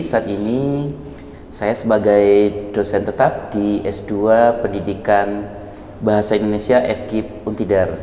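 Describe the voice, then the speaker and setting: A man's fairly low voice at a very slow pace, fairly even in intonation, over noticeable background noise with audible room echo. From Padang, West Sumatra. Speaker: university lecturer. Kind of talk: interview.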